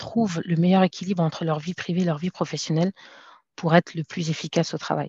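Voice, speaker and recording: A woman speaks at a fairly low pitch in a dark, mellow tone that is somewhat breathy, with fairly even intonation. The sound is dry and close with no echo, over a quiet background. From France. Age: 30s. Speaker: entrepreneur. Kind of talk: interview.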